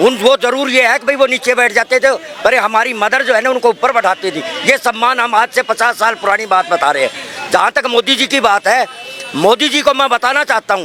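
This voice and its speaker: A man's raised, projected voice comes through at an extremely high pitch for a man, with ordinary pitch variation and a moderate pace. Music plays in the background. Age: 70s. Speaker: protester. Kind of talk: street interview.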